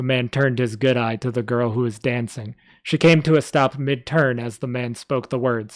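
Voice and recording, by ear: Natural-voiced reading aloud, the intonation fairly even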